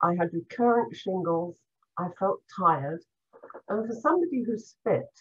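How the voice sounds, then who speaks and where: A woman speaks at a medium pitch and a moderate pace. Her voice is somewhat breathy, with lively intonation. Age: 70s. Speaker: former cancer patient. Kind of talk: personal testimony.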